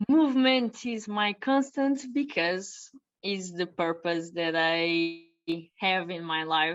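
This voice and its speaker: A woman speaks at a medium pitch with lively intonation. Her pace is very slow. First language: not English. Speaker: personal trainer. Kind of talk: interview. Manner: halting.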